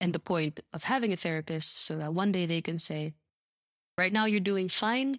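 At a moderate pace, a woman talks in an ordinary speaking voice at medium pitch with ordinary pitch variation and a dry, close sound with no echo. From Vancouver, Canada. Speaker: tabletop game designer and former English teacher. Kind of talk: casual interview chat. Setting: remote call.

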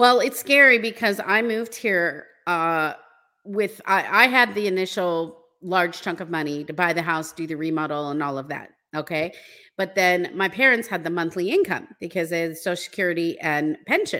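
A woman with an American accent speaks at a moderate pace, her pitch fairly low and her intonation lively. Her tone is bright and sharp, on a very clean recording with a silent background. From United States. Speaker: relocation consultant. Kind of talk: casual interview chat.

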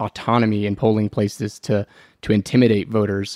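An unremarkable speaking voice with fairly even intonation at a fairly quick pace. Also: man, very clean recording, silent background. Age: 30s. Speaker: political organization director, co-host. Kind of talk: casual political discussion.

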